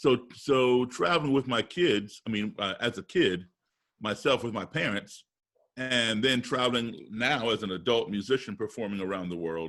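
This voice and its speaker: A man with an American accent talks at a moderate pace and medium pitch with ordinary pitch variation, in a plain, everyday voice. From US, raised partly abroad as embassy kid. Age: 60s. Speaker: musician and race relations speaker. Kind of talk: interview.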